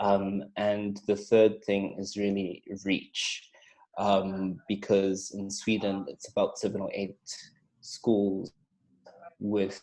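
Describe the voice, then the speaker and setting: A man speaks very slowly in a dark, mellow, fairly low voice with monotone, flat intonation. Long, frequent pauses break up his speech. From Zimbabwe, largely raised in South Africa. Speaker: teacher and debate coach. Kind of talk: podcast interview. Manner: hesitant, many fillers.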